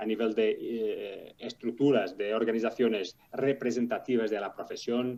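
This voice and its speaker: At a moderate pace, a man talks at medium pitch with a dark, mellow tone. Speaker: podcast host. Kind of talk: podcast interview. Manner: halting, many fillers.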